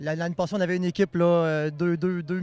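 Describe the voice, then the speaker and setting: A man is speaking. His pace is very fast. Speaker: event organizer. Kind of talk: on-site interview. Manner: hesitant, many fillers.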